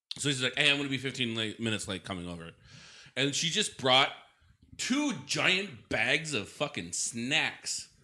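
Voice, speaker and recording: A man with an American accent at a medium pitch, with a bright, sharp tone, vocal fry, very wide pitch swings and a moderate pace, on a very clean recording with a silent background. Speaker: podcast co-host. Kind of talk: casual chat.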